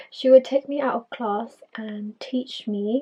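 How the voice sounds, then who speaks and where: A woman with an English accent talks at a fairly high pitch. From England, Filipino immigrant family. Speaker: podcaster. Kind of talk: personal storytelling monologue.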